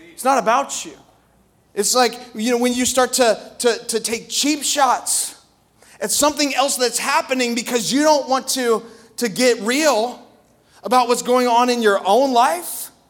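A man's extremely high voice, animated and passionate, at a fairly slow pace. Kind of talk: sermon in full flow, preaching to a live congregation. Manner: animated, passionate, emphatic with repetition.

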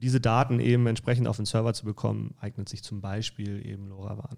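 A man's dark, mellow tone in a monotone, flat intonation, on a very clean recording with a silent background. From northern Germany, Kiel. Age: 30s. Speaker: energy consultant. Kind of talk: casual chat. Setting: studio.

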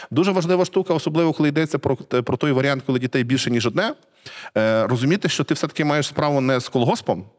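A man with a fairly high pitch races along at a very fast pace, his pitch varying in an ordinary way. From central Ukraine, Cherkasy region. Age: 40s. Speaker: literary scholar and museum director. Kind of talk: casual interview conversation.

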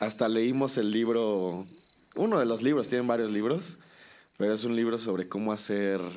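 Using a normal speaking voice, a man talks at medium pitch and a moderate pace, with very even loudness and ordinary pitch variation. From Mexico, Cholula, Puebla. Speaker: musician. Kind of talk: casual chat. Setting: in person, before a show.

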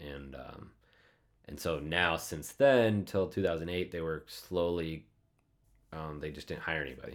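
With an Upper Midwest accent, a man with a very deep, low pitch speaks at a fairly slow pace, with big swings in loudness and long, frequent pauses. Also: ordinary pitch variation. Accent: Upper Midwest American. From US Midwest, north central Iowa. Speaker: pilot and flight instructor. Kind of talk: casual interview.

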